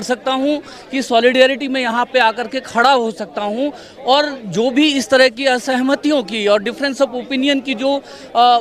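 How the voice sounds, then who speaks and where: A man with an extremely high voice amid crowd noise in the background. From Delhi, family from Bihar. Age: 60s. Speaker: protester. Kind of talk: street interview. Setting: outdoors at a protest.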